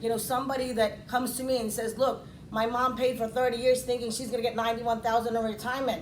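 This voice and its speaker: A woman talks very fast in a high pitch, her intonation flat and monotone. Noticeable background noise and audible room echo fill the recording. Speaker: financial services agent. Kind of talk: speech. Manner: loud; halting.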